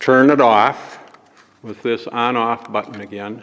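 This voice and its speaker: Over noticeable background noise, a man talks at a medium pitch. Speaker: church volunteer. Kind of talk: tutorial. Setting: church. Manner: louder.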